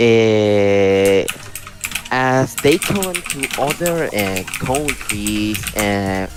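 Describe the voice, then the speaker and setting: A man's fairly low voice in a Spanish accent, at a very slow pace with ordinary pitch variation, against noticeable background noise. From Venezuela. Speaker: English learner. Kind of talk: class discussion. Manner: halting.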